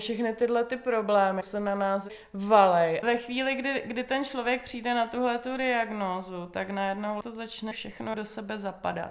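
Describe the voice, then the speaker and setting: With a normal speaking voice, a woman talks at a moderate pace and a fairly high pitch, her intonation fairly even and with hardly any pauses. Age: 30s. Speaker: psychologist and peer consultant. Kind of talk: interview.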